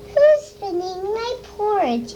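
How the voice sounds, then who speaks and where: A put-on character voice at an extremely high pitch, with clear background noise. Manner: speaking in a man-sized voice.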